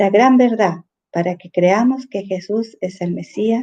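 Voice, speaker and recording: A woman's dark, mellow voice at a medium pitch, fairly slow in pace, with ordinary pitch variation. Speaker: church discipleship teacher. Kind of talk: bible study lesson. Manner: halting with fillers.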